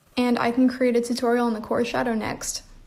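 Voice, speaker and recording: A woman speaks at a high pitch and a moderate pace in a monotone, flat intonation. Noticeable background noise is present. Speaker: art tutorial creator. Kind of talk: tutorial.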